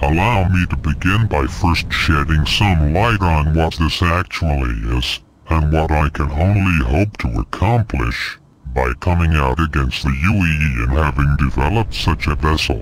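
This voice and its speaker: A man's put-on character voice with a very deep, low pitch, lively intonation and a moderate pace. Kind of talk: in-lore mockumentary testimony. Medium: machinima. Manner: grave, earnest, declamatory.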